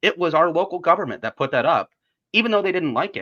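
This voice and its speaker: A man's very fast, high-pitched voice with a bright, sharp tone and an American accent, in a dry, close sound with no echo. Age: 20s. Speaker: city council member. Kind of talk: interview answer.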